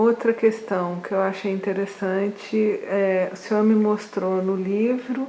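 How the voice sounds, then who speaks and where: In a Brazilian accent, a woman speaks at a very slow pace with monotone, flat intonation. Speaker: interviewer, researcher. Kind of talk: interview. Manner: halting, repeats words.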